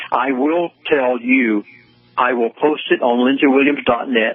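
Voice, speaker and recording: Noticeable background noise sits under the speech. A man talks at a medium pitch and a moderate pace. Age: 70s. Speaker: pastor and conspiracy commentator. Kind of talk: radio interview. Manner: earnest, pleading.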